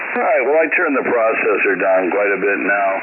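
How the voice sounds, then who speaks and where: Audible room echo and noticeable background noise accompany a man who speaks at a fairly quick clip. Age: 50s. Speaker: ham radio operator. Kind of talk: ham radio on-air chat. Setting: amateur radio transmission. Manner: halting, many fillers and repeats.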